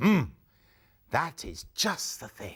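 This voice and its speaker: A man performs in a put-on character voice. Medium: read story.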